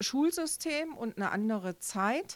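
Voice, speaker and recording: A woman is speaking. Her pace is very slow. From Thuringia, East Germany. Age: 50s. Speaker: teacher. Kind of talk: casual interview. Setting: studio.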